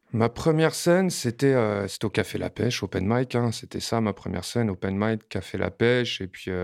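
On a very clean recording with a silent background, a man of medium pitch speaks at a moderate pace with lively intonation, the sound dry and close with no echo. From France, Montreuil (Paris suburbs). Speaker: rapper. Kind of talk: casual interview. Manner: hesitant with frequent fillers and repetitions.

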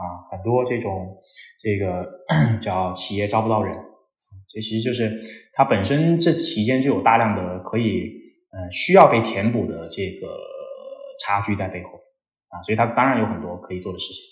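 A man with a slight Cantonese accent and a fairly low pitch speaks at a moderate pace with ordinary pitch variation and long, frequent pauses. Music plays in the background, and room echo is audible. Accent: slight Cantonese-tinged Mandarin. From Guangdong, southern China. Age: 20s. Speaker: startup partner in career education. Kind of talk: casual interview chat. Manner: animated, frequent fillers.

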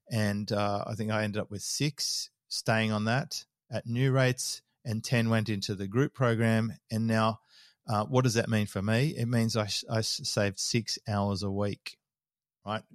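A man of medium pitch with an Australian accent, fairly even intonation, on a very clean recording with a silent background. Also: moderate pace, dry, close sound with no echo. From Australia (Sydney). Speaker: business mentor. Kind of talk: interview conversation.

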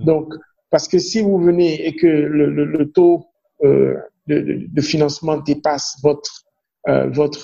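With a Beninese accent, a man speaks in a fairly high voice with fairly even intonation. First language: Fon (speaking French). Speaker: banker. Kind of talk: interview. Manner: halting with frequent repetitions.

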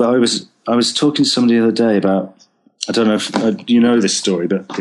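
A man with a Lancashire accent speaks at a medium pitch with fairly even intonation. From northern England, Preston. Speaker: TV, film and theatre composer. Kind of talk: interview. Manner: halting.

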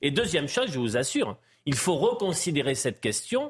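A man speaks with lively intonation and a somewhat breathy sound. The recording is very clean, with a silent background. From France, Pau. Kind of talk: panel discussion. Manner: halting.

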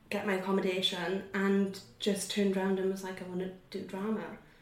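With noticeable background noise, a woman speaks at a medium pitch and a moderate pace. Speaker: actor. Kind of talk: casual interview chat.

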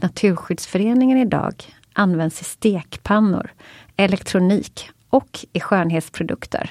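A woman speaks with a Swedish accent at a moderate pace. The recording is very clean, with a silent background. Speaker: podcast co-host. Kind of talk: scripted intro.

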